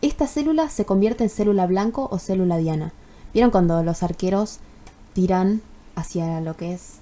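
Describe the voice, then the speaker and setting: A woman has a dark, mellow tone at a medium pitch. Her intonation is lively. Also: moderate pace. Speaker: university student. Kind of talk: tutorial. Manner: casual, with many fillers.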